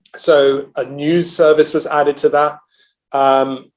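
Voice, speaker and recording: A man speaks with a British accent in a monotone. His pitch is fairly high and his intonation flat. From England, London. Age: 40s. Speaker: energy research analyst. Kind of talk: interview. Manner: hesitant, many fillers.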